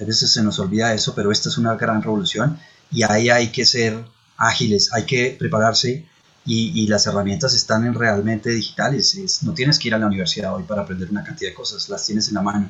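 A man's very fast speech at a medium pitch, with ordinary pitch variation. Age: 40s. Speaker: tech entrepreneur. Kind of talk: interview. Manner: hesitant fillers.

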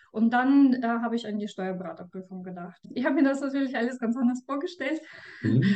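Noticeable background noise sits behind a Russian accent. Delivery is very fast, with lively intonation. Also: woman, high pitch for a woman. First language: Russian (speaking German). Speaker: tax advisor. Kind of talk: interview. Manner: hesitant, with fillers.

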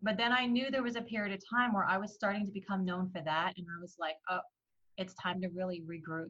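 A woman with a New Jersey accent speaks at a very fast pace and medium pitch. Her tone is bright and sharp, and her pitch varies in an ordinary way. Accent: New Jersey American. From New Jersey, US (adopted from Iran as a baby). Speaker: business branding coach. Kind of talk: interview.

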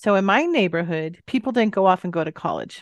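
With an American accent, a woman speaks at a moderate pace and medium pitch in an unremarkable speaking voice, over a quiet background with a dry, close sound and no echo. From US West Coast, Bay Area California. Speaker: life coach and healer. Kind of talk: casual interview chat.

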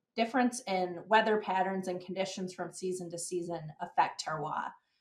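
A woman's unremarkable speaking voice, medium-pitched, with ordinary pitch variation and a moderate pace. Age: 20s. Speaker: extension educator and podcast host. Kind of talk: casual podcast conversation.

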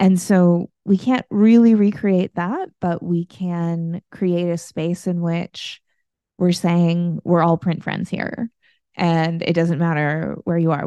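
In an American accent, a woman with a fairly low pitch and a dark, mellow tone speaks with fairly even intonation, the sound dry and close with no echo against a quiet background. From United States. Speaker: podcast host and gallery director. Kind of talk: casual chat.

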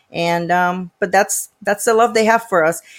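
A woman of medium pitch with a Puerto Rican accent and ordinary pitch variation. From Puerto Rico. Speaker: parental rights activist and political candidate. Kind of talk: interview. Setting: video call.

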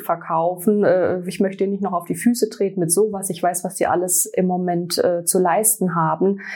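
Fairly even intonation marks this woman's medium-pitched voice. Her tone is dark and mellow, at a moderate pace. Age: 40s. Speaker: sales representative for a hair care brand. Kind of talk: interview.

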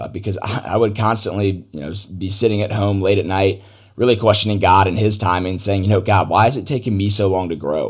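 Using fairly even intonation, a man talks in an unremarkable speaking voice with a fairly low pitch. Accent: American. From US South, Atlanta, Georgia. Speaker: podcast host. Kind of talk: solo podcast monologue.

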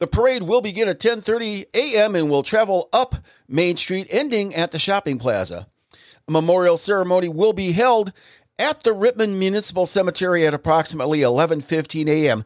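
Lively intonation in an American accent, at a fairly quick pace, with a dry, close sound and no echo. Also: man, high pitch for a man, very clean recording, silent background. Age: 60s. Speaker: local podcast host. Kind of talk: casual solo podcast monologue with announcements. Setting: home studio recording. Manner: informal, hesitant with filler words.

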